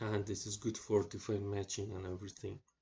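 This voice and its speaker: Fairly low-pitched and somewhat breathy, this man talks in a monotone with flat intonation. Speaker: electronics engineering tutor. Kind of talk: tutorial. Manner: slow, halting with many fillers.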